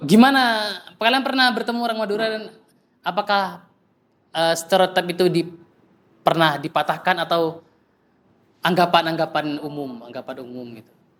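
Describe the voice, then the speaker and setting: A high-pitched man at a moderate pace, with lively intonation, big swings in loudness and long, frequent pauses. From East Java (Probolinggo, Pandalungan area). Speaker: speaker at discussion forum, psychology graduate. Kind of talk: casual discussion with audience.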